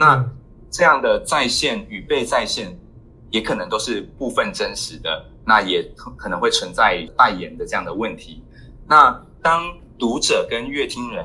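Delivered at a fairly slow pace, the speech shows big swings in loudness. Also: man. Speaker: cultural anthropology researcher. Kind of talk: interview. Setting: international remote call. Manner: halting.

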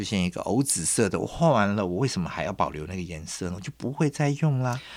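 Speaking very fast with lively intonation, a man uses a fairly low pitch. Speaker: designer and curator. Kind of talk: interview.

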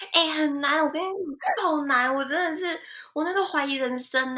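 A woman speaks in a high, raised, projected voice. Her tone is animated and her pace fairly quick. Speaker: fashion industry worker in Japan. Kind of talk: casual interview chat.

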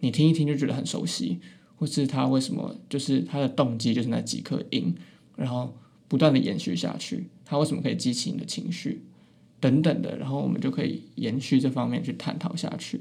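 A man with a Taiwanese accent speaks at a fairly quick pace. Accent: Taiwanese Mandarin. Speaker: university student podcaster. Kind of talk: casual chat. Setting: small room in a library. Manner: listless.

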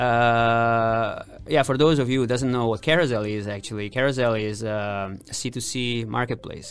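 A man with an Italian accent speaks at a medium pitch and a moderate pace, his intonation fairly even. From Italy. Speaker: engineering director. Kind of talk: interview.

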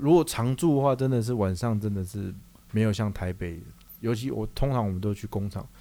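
A man's fairly low, dark and mellow voice on a very clean recording with a silent background. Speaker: podcast co-host, chemical industry sales. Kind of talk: casual chat.

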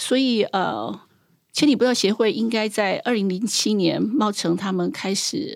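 Vocal fry in a woman's fairly high voice, with lively intonation, a fairly slow pace and a very clean recording with a silent background. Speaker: trail association director. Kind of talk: interview conversation.

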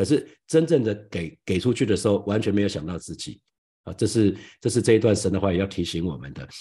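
In a Taiwanese accent, a man speaks at a fairly quick pace with ordinary pitch variation. His fairly low voice has a dark, mellow tone over a quiet background. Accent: Taiwanese Mandarin. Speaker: pastor. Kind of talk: sermon. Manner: halting.

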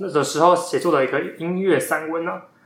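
Amid audible room echo, a man with a high-pitched voice talks at a fairly quick pace. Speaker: podcast host, bookstore worker. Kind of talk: book recommendation talk; casual chat. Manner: animated.

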